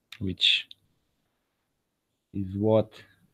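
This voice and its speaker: Dry and close with no echo, the recording captures a man with a non-native accent and a fairly low pitch speaking in a monotone, flat intonation. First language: not English. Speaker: video blogger. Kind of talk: monologue video blog.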